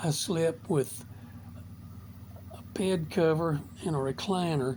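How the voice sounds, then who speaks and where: This man's voice is fairly high in pitch, with a dark, mellow tone. It is somewhat breathy and shows ordinary pitch variation. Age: 70s. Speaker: motivational vlogger. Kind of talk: casual monologue.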